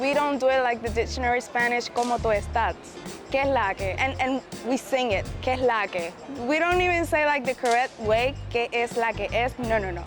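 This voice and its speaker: Over background music, a woman speaks at a fairly quick pace with a high pitch and ordinary pitch variation. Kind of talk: interview answer.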